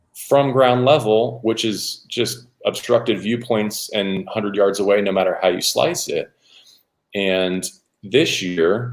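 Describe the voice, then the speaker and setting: A man talks in an ordinary speaking voice at a moderate pace. His pitch is fairly low, with ordinary pitch variation. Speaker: radio play-by-play announcer. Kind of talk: relaxed interview answer about football.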